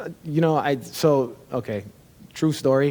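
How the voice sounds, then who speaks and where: A man talks at a moderate pace with a slight Chicago accent. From Chicago, US Midwest. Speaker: tech company founder and CEO. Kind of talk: interview conversation.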